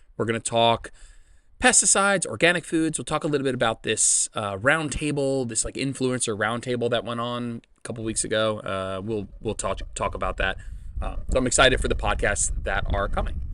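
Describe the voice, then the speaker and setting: A loud man's voice with an American accent, medium pitch, a bright, sharp tone, ordinary pitch variation and a fairly quick pace. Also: quiet background. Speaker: fitness coach and podcast host. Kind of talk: casual solo podcast. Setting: outdoors.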